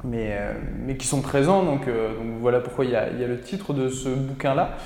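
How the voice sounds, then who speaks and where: A man's medium-pitched voice at a moderate pace with fairly even intonation, plus audible room echo and noticeable background noise. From France, Mayenne (Laval). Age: 20s. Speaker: podcaster and cinema worker, former footballer. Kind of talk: casual interview. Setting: studio. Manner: halting, many fillers.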